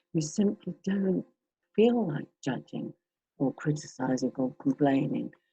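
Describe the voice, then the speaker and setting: A woman with a dark, mellow, gentle tone and vocal fry speaks fairly slowly in a dry, close sound with no echo. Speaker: meditation teacher. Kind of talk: reflective group sharing. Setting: video call. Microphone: distorted sound.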